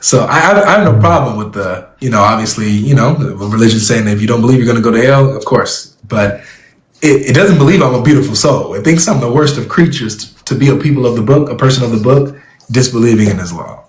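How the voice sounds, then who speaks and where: A man with an American accent at a very fast pace, amid audible room echo. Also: medium pitch for a man, lively intonation. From California. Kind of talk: debate conversation.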